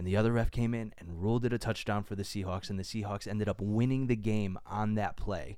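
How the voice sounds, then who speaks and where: An ordinary speaking voice, this man's is fairly low in pitch, with an American accent and a fairly quick pace. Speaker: podcast co-host. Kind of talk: casual chat.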